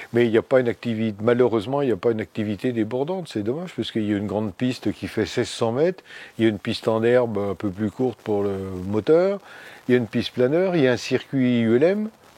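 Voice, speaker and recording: This man's voice has a dark, mellow tone at a medium pitch, with lively intonation. He speaks at a very fast pace in a dry, close sound with no echo. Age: 70s. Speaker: amateur pilot. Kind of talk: casual interview.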